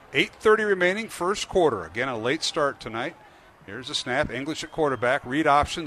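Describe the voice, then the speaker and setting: Using a plain, everyday voice, a man speaks with lively intonation. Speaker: radio play-by-play announcer. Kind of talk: live sports commentary. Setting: stadium broadcast. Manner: rapid play-by-play delivery, rising and excited on touchdowns; fluent, upbeat, with frequent 'uh' fillers.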